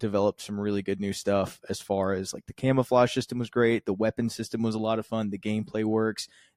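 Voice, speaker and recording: In a normal speaking voice, a man talks at a fairly low pitch with fairly even intonation, in a dry, close sound with no echo. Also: very clean recording, silent background. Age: 30s. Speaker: marketing director and streamer. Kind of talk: casual chat.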